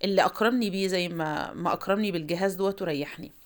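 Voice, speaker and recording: In a very clean recording with a silent background, a woman with an Egyptian accent speaks at a fairly quick pace and medium pitch, with ordinary pitch variation. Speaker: cooking vlogger. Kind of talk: cooking tutorial. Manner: casual, chatty.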